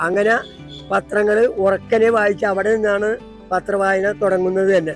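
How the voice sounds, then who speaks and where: Music plays in the background as a man with a high pitch speaks in a monotone, flat way. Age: 70s. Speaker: public newspaper reader. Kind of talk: interview answer.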